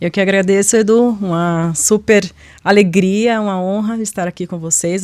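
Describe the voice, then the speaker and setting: A woman with a Bahian accent is heard in a very clean recording with a silent background. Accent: Bahian (northeastern Brazilian). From Bahia, northeastern Brazil (Ilhéus). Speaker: corporate diversity manager. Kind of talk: interview.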